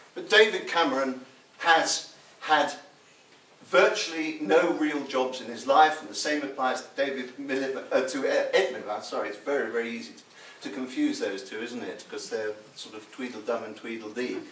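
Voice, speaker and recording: A man with a fairly high pitch speaks at a moderate pace, his volume rising and falling sharply. Noticeable background noise and audible room echo are present. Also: lively intonation. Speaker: political speaker, writer and historian. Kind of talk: political speech at public meeting. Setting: hotel meeting room with audience.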